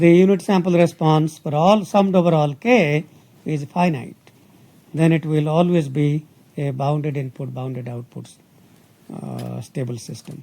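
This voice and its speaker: A man with a fairly high pitch speaks somewhat breathily at a moderate pace, with ordinary pitch variation. He leaves long, frequent pauses, and his loudness swings widely. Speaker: university professor. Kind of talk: lecture. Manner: hesitant, many fillers.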